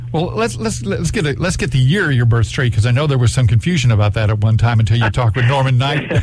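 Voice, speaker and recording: An American-accented man speaks at a very fast pace with hardly any pauses, his medium pitch showing ordinary variation. Noticeable background noise runs behind him. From Florida (Jacksonville). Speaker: radio host. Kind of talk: radio interview.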